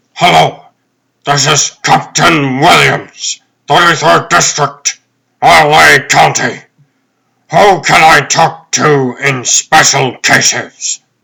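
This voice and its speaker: Using a put-on character voice, a man speaks very slowly in a fairly high, raspy tone at very even loudness. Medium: fan dub. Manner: brisk, authoritative.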